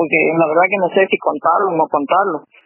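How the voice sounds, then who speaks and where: At a fairly quick pace, a woman is speaking. Her pitch variation is ordinary. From Argentina, Castelli, Chaco. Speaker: artist and writer. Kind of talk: radio interview. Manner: hesitant, many fillers.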